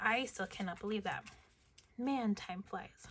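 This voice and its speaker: A woman talks at a fairly slow pace in a medium pitch with ordinary pitch variation. There is noticeable background noise. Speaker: K-pop photocard collector vlogger. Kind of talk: casual chat while sorting collectibles. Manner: chatty, informal.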